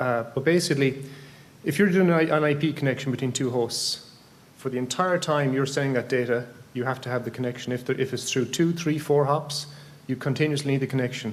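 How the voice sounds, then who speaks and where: This man talks at a very fast pace with an Irish accent and a medium pitch. His intonation stays fairly even, and the room echo is audible. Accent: flat Irish. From Ireland. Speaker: amateur radio conference speaker. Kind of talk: technical presentation. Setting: conference room with microphone. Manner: halting, many fillers and restarts.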